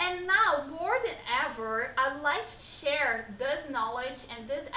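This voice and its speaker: In a Brazilian accent, a woman with a high voice speaks fairly slowly in a raised, projected voice with lively intonation, while audible room echo and noticeable background noise fill the recording. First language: Portuguese. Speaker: pilates instructor. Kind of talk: live-streamed online workshop. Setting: live stream.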